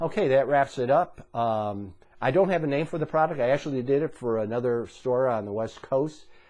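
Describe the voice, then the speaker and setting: A man's ordinary speaking voice at medium pitch, fairly quick with hardly any pauses and ordinary pitch variation. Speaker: doctor selling supplements. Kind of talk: health advice monologue.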